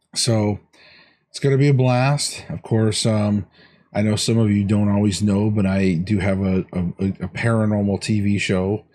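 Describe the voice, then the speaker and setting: A man with a dark, mellow tone speaks at a moderate pace and a fairly low pitch. His intonation is fairly even, and the background is quiet. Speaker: weight loss vlogger. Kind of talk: video diary.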